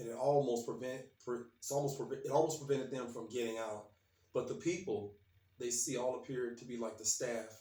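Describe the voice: The clip is plain reading aloud, and its pitch varies in an ordinary way.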